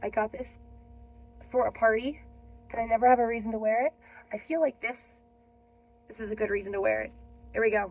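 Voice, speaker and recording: A fairly high-pitched woman speaks fairly quickly with ordinary pitch variation, big swings in loudness and long, frequent pauses, over noticeable background noise. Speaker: teacher reading books aloud on her channel. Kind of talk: casual chat before reading aloud. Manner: hesitant, with many fillers.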